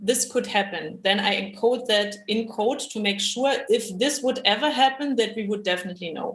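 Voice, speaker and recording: A woman with an unremarkable speaking voice talks at a moderate pace in a fairly high pitch, with ordinary pitch variation and hardly any pauses. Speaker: machine learning engineer at a bank. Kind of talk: panel discussion.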